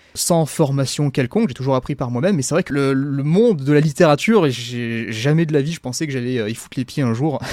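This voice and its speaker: This man talks at a fairly quick pace, his medium-pitched voice carrying lively intonation. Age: 20s. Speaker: self-published fantasy author and YouTuber. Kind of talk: casual interview. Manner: halting, repeats words.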